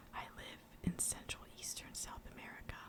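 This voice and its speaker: The voice is whispering. Background noise is noticeable. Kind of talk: reading a riddle-style trivia card aloud. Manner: soft-spoken, whispered.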